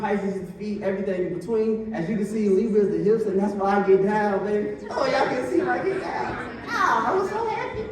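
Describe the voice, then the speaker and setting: Ordinary pitch variation comes through with noticeable background noise and audible room echo. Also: man. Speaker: musician and astrology presenter. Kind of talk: public talk. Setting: stage with audience at art museum. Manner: stuttering, halting.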